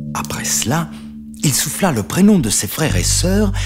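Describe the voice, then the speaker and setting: Male voice at a medium pitch with very wide pitch swings, music playing behind. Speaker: narrator. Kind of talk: read story.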